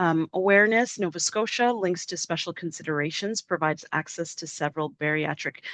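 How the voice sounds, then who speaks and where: Against a quiet background, a woman with a fairly low pitch speaks at a moderate pace, the sound dry and close with no echo. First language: French. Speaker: webinar presenter. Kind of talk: webinar presentation.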